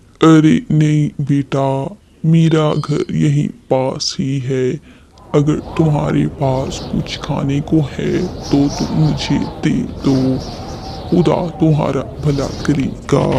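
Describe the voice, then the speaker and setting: A man's cartoonish character voice at fairly high pitch, very slow, with long, frequent pauses and monotone, flat intonation. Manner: humble, pleading.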